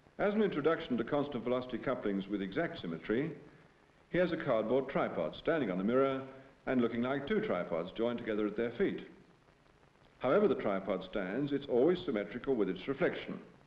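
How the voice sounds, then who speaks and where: Amid audible room echo, a man speaks at a very fast pace with very wide pitch swings. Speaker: professor presenting film. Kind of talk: scripted educational film narration, lecture-style. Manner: formal, measured, didactic. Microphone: old recording.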